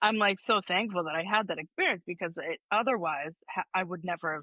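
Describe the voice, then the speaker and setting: A woman speaks loudly and fairly quickly in a bright, sharp tone with ordinary pitch variation, her sound dry and close with no echo over a quiet background. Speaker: somatic healing practitioner. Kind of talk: casual chat. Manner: animated.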